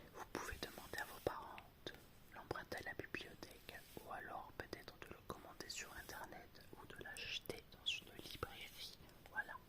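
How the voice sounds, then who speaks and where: Over noticeable background noise, the speaker whispers fairly slowly. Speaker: former primary school worker. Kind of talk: ASMR read-aloud for children. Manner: whispered.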